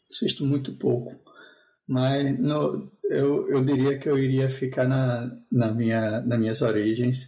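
Very slowly and with fairly even intonation, a man speaks at a medium pitch with a dark, mellow, somewhat breathy tone and audible room echo. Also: very even loudness. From Brazil, João Pessoa. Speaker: software engineer. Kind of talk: casual chat.

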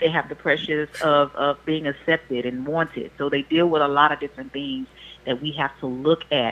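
A woman's very deep, low voice in a monotone, flat intonation at a fairly quick pace. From Louisiana. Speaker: licensed professional counselor. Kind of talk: casual chat. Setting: phone call.

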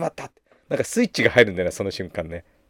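This is a man's voice on a very clean recording with a silent background. The sound is dry and close, with no echo. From Japan, Gunma (Takasaki). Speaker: spiritual podcast host. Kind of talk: casual monologue.

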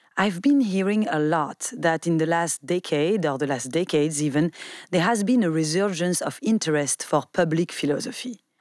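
The speaker has a plain, everyday voice and a moderate pace. The intonation is lively. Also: woman. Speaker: podcast host, philosophy. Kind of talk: podcast discussion and interview.

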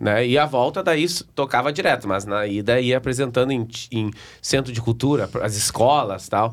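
On a very clean recording with a silent background, a man speaks in a southern Brazilian accent at a medium pitch with ordinary pitch variation. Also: moderate pace. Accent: gaúcho Brazilian Portuguese. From Rio Grande do Sul, Brazil (Novo Hamburgo area). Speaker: sertanejo singer. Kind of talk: casual chat.

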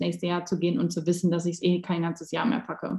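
A woman speaks at a fairly quick pace in a somewhat breathy voice with a dark, mellow tone. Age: 20s. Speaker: life coach. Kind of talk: casual chat.

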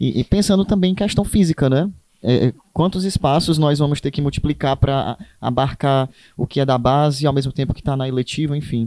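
At a fairly quick pace, a man speaks in a dark, mellow tone with ordinary pitch variation, the sound dry and close with no echo on a very clean recording with a silent background. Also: fairly high pitch for a man. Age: 20s. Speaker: teacher. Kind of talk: casual chat.

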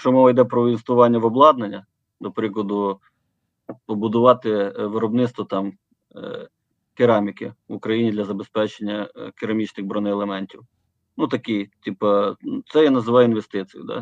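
A man of medium pitch at a moderate pace, with fairly even intonation and long, frequent pauses. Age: 40s. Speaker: company founder. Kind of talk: interview. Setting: remote call. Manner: halting.

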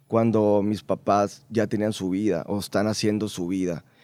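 On a very clean recording with a silent background, a man with a normal speaking voice talks fairly slowly at fairly low pitch. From Mexico, Baja California Sur (La Paz). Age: 20s. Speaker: radio announcer. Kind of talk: casual interview chat. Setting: studio.

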